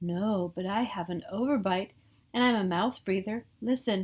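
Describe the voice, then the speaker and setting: Using a put-on character voice, a woman talks at a moderate pace with a medium pitch. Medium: read story. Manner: meek, polite.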